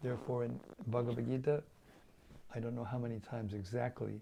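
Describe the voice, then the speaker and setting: This man's voice sits at a medium pitch, with a dark, mellow tone. It is somewhat breathy, and his intonation stays fairly even. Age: 70s. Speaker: spiritual teacher. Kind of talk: religious lecture. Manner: halting, with fillers and repetitions.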